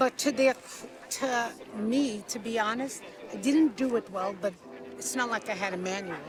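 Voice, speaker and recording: A woman with an American accent talks at a moderate pace, fairly high in pitch, with ordinary pitch variation. Long, frequent pauses break up her speech over noticeable background noise. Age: 60s. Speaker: interviewee. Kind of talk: street interview. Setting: outdoors.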